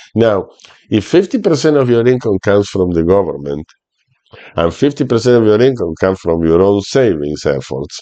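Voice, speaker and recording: A man speaks at a moderate pace in a dark, mellow tone, his pitch swinging very widely while his loudness stays very even. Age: 60s. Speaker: retirement finance youtuber. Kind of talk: tutorial. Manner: halting.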